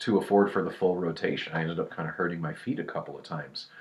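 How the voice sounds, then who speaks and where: This man's pitch sits very deep and low. His tone is relaxed. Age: 30s. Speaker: skateboarder. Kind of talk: casual talk to camera. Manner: relaxed, hesitant.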